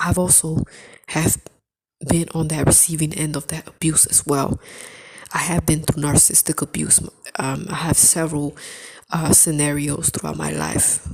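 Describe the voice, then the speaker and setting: A woman speaks in a very deep, low pitch with vocal fry and monotone, flat intonation, leaving long, frequent pauses. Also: moderate pace. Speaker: spiritual video creator. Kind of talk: testimony. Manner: halting.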